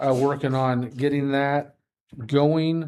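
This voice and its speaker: A man has an unremarkable speaking voice at a fairly high pitch. His pace is fairly slow. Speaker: airport facilities staff. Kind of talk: meeting staff report. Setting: public board meeting.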